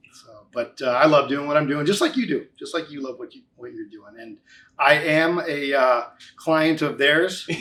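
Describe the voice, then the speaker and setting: A man with an American accent speaks at a moderate pace and a fairly high pitch, with ordinary pitch variation. His loudness swings widely. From US Midwest, Chicago. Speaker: financial services business owner. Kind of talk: casual interview.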